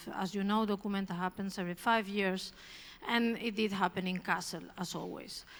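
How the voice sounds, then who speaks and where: A woman talks at a fairly quick pace with a Spanish accent. Her pitch is medium and her intonation stays monotone and flat. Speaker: art curator. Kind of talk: public talk. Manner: hesitant, with filler words.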